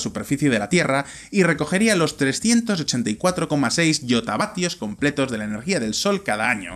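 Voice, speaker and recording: This man's pitch rises and falls very widely. His speed is moderate. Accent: Spanish. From Spain, Valladolid; Spain. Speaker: video presenter; presenter. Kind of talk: scripted narration. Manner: animated. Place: studio. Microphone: studio mic.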